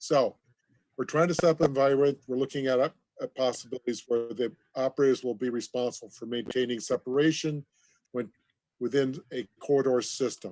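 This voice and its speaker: Fairly quick in pace, a man talks at a medium pitch with fairly even intonation. The sound is dry and close, with no echo. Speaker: aviation regulator official. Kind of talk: conference presentation. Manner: fast.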